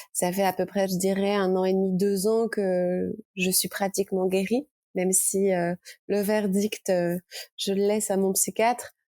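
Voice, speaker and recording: Fairly slow, flat, monotone delivery in a dry, close recording with no echo. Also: woman, medium pitch for a woman, very even loudness. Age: 30s. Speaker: author, recovered anorexia patient. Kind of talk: testimony. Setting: podcast. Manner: halting.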